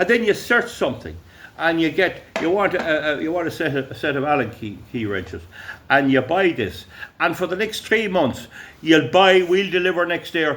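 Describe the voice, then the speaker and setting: A loud man at a moderate pace, high-pitched, with lively intonation. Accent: Irish. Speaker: YouTuber. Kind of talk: casual monologue. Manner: halting.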